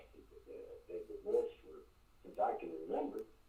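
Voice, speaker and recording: A man's voice with audible room echo. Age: 60s. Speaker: caller. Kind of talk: call-in radio conversation. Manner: halting, repetitive.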